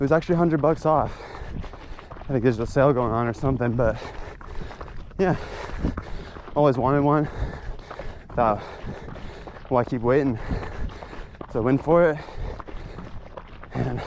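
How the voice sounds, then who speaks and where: Fairly quick delivery broken by long, frequent pauses, with ordinary pitch variation over noticeable background noise. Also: man, medium pitch for a man. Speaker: vlogger. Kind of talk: vlog while trail running. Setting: outdoors, on a trail. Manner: halting, many fillers.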